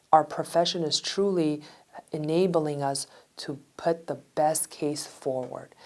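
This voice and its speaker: Very deep and low for a woman, her voice moves at a fairly slow pace with fairly even intonation. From Russia. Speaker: attorney, law firm owner. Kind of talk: interview testimony.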